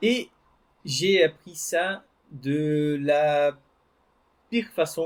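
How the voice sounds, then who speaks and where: This man's voice sits fairly high in pitch, and his intonation is lively. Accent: Brazilian. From Brazil. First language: Portuguese (speaking French). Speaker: French teacher. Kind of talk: personal story told to learners. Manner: hesitant, with repetitions.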